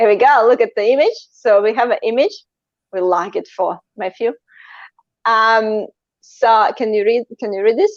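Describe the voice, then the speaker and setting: Moderate pace with a non-native accent, fairly even intonation, and long, frequent pauses. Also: woman, fairly high pitch for a woman. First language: not English. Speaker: live interview host. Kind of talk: live stream interview. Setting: online live stream.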